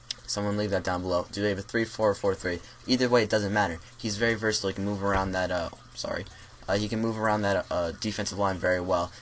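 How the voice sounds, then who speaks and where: A man with a fairly low pitch speaks at a very fast pace. There is noticeable background noise. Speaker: YouTuber, NFL draft analyst. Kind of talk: solo video commentary. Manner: halting, many fillers and self-corrections.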